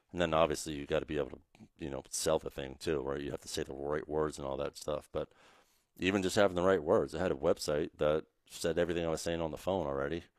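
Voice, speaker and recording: With a very deep, low pitch and vocal fry, the man talks at a very fast pace in fairly even intonation, the sound dry and close with no echo. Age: 30s. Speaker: online marketing entrepreneur. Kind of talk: interview conversation. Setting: mansion on the water.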